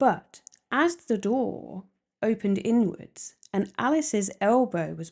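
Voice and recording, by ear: Natural-voiced reading aloud against a quiet background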